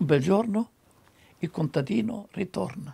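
A man's fairly slow delivery with very wide pitch swings and vocal fry. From Italy, Romagna. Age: 80s+. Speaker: screenwriter. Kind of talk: interview answer. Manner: lively. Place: home room.

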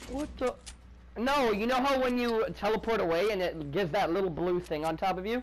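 Noticeable background noise under a fairly quick delivery. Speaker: gaming streamer. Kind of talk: casual gaming chat. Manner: excitable. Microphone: headset.

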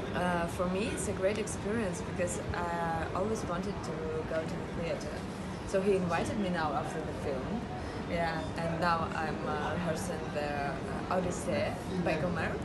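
A woman speaks at a moderate pace. Loud background noise is present. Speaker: film actress. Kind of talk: interview answer. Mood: warm, thoughtful, occasionally laughing. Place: street.

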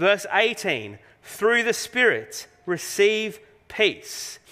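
Against a quiet background, a man with an Australian accent speaks at a very slow pace in a high pitch with ordinary pitch variation. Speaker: pastor. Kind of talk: sermon. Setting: church. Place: church.

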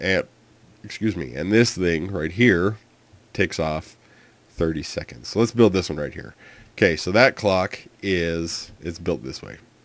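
With vocal fry and a very deep, low pitch, a man talks at a fairly slow pace, leaving long, frequent pauses, his loudness swinging widely. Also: ordinary pitch variation. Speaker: gaming video creator. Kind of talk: tutorial. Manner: hesitant, many fillers.

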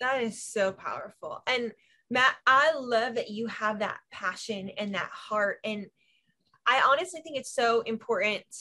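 Her pitch moves in an ordinary way. The woman keeps to a fairly slow pace. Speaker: ministry leader and show host. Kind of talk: casual chat. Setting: video call. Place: home room. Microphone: video call.

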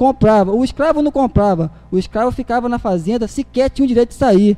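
This man's voice sits extremely high in pitch, with a dark, mellow tone and ordinary pitch variation. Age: young. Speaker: political activist; public council speaker. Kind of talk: speech at city council meeting. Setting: city council chamber. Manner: halting. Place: hall. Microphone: podium.

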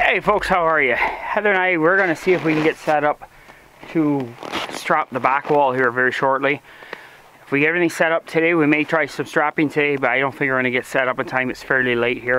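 Light background noise is present. Over it, a man speaks at a very fast pace. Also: ordinary pitch variation. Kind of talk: casual vlog chat. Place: open country.

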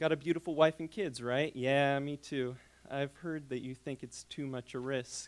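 With a medium pitch, a man talks at a moderate pace and keeps a fairly even intonation. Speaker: graduate creative writing student. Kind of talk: reading aloud. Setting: stage with audience. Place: hall. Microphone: handheld.

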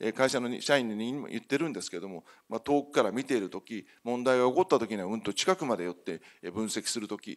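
Over a quiet background, a man talks at a fairly quick pace with lively intonation and big swings in loudness. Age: 50s. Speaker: company CEO; speaker. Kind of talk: conference keynote presentation. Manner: formal. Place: hall.

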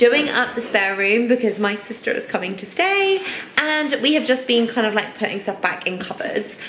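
The voice shows ordinary pitch variation, with audible room echo and light background noise. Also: woman. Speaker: home renovation vlogger. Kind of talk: casual vlog chat. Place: home room. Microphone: phone near.

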